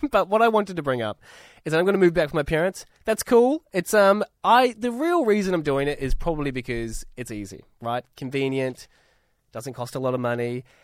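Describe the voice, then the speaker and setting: Very wide pitch swings come through a very clean recording with a silent background and a dry, close sound with no echo. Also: man, fairly high pitch for a man, fairly quick pace. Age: 20s. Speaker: radio co-host. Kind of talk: casual radio talk.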